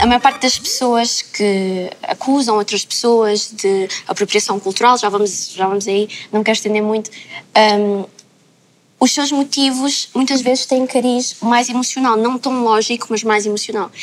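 A woman with an ordinary speaking voice talks at a fairly slow pace in a fairly even intonation. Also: fairly high pitch for a woman. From Lisbon, Portugal. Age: 20s. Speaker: content creator. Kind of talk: panel discussion.

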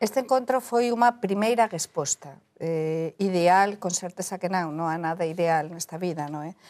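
Fairly low-pitched female voice with a Galician accent, moderate pace and ordinary pitch variation, dry and close with no echo on a very clean recording with a silent background. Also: hardly any pauses. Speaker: journalist. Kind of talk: panel discussion.

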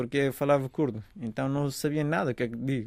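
With a Kurdish accent, a man speaks at a moderate pace with ordinary pitch variation. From Afghanistan. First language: Kurdish (speaking Portuguese). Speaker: refugee athlete and architecture student. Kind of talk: interview testimony. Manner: halting.

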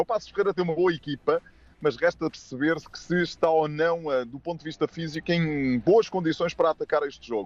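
A man's fairly high voice with ordinary pitch variation, dry and close with no echo. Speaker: football pundit. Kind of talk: radio sports preview.

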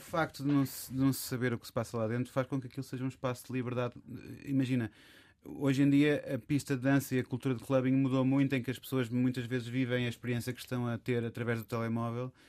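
Delivered at a very fast pace, a man's medium-pitched voice stays monotone and flat. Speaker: DJ and record label co-founder. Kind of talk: casual chat. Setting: studio.

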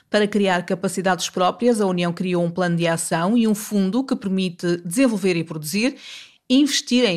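Spoken with a European Portuguese accent at a moderate pace, the voice shows ordinary pitch variation on a very clean recording with a silent background. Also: woman. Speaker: radio host. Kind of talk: scripted narration.

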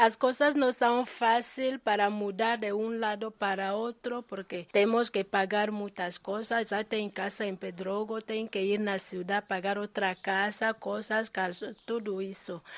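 A woman talks fairly slowly in a fairly high voice, keeping her intonation mostly level. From Equatorial Guinea. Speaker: shop owner. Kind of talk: interview. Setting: in her shop. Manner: halting.

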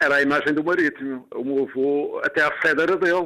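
A man speaks at a moderate pace. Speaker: former footballer. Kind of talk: interview testimony. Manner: halting, many fillers.

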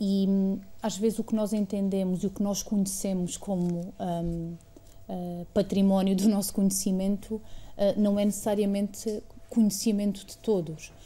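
A woman with a medium pitch and a dark, mellow, somewhat breathy tone speaks at a fairly slow pace. Her intonation is monotone and flat, while her loudness swings a lot. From Portugal, Alentejo (Estremoz). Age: 30s. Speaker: museum director, former member of parliament. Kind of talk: interview. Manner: halting, with frequent fillers.

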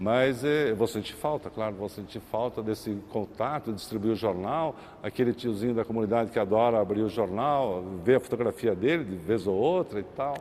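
A man talks at a medium pitch and a fairly quick pace. His pitch variation is ordinary. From Brazil, São Paulo. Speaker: folklore group founder and newspaper publisher. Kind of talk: interview.

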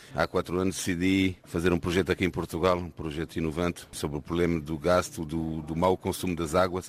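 A man's very deep, low pitch, with fairly even intonation and a fairly quick pace. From France. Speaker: entrepreneur. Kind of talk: interview.

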